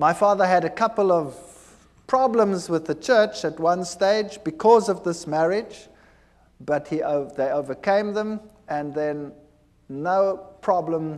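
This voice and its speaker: Very slowly, a man with a high-pitched voice speaks using lively intonation. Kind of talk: testimony. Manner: halting.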